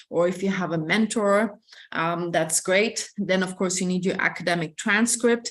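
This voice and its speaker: In an Ethiopian accent, the speaker keeps a moderate pace and fairly even intonation over a quiet background. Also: woman. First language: Amharic. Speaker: admissions representative. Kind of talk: information session. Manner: hesitant, many fillers.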